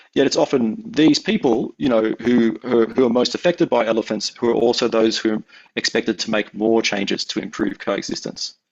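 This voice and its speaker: Speaking with an Australian accent, a man uses medium pitch with ordinary pitch variation. He talks at a fairly quick pace with hardly any pauses. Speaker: anthropologist researcher. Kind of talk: academic talk. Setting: webinar. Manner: halting, many fillers and repeats.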